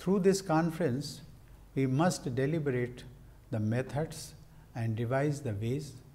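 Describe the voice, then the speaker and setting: This man speaks at a fairly slow pace and sounds somewhat breathy. His pitch varies in an ordinary way. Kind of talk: formal speech. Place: office. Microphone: lapel.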